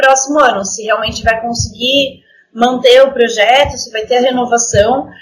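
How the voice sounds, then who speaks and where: Her voice is high, and this woman speaks at a fairly slow pace with audible room echo. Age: 20s. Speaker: orchestra violinist. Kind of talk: casual interview.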